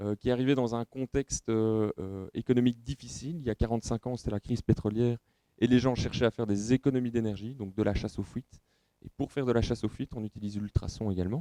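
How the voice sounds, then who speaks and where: Recorded dry and close with no echo, a man talks at a very fast pace in a dark, mellow tone. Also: medium pitch for a man, ordinary pitch variation. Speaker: company representative presenting at trade show. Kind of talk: technical presentation. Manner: hesitant, many filler sounds.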